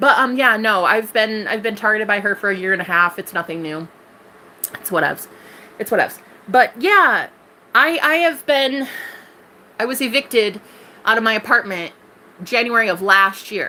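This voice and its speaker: An animated woman's fairly high voice with lively intonation, a moderate pace, long and frequent pauses, and noticeable background noise. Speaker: tarot reader streamer. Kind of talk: live stream chat.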